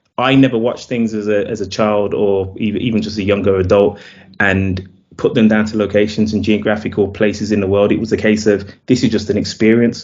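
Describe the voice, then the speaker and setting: This man talks at a fairly quick pace in a British accent, his fairly low pitch held in a monotone, flat intonation. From UK. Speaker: film director. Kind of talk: interview. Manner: halting, with fillers.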